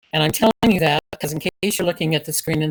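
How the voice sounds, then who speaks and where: Her somewhat breathy voice sits at a fairly low pitch with ordinary pitch variation, racing along at a very fast pace in a dry, close recording with no echo. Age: 70s. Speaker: book discussion participant. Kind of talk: casual group discussion.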